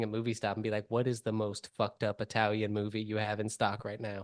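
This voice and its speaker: A man at a very fast pace. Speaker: podcast host. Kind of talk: casual chat.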